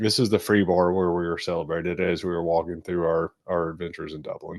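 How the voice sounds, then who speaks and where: Very fast speech comes in a monotone with flat intonation. The background is quiet. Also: man, very deep, low pitch for a man. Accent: Kentucky. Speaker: travel video host. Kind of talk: casual chat.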